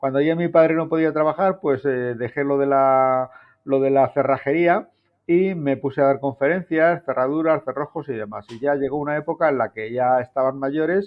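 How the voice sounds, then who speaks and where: An unremarkable speaking voice from a man, fairly high in pitch, with fairly even intonation and a moderate pace. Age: 60s. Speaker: TV presenter and journalist. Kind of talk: casual chat.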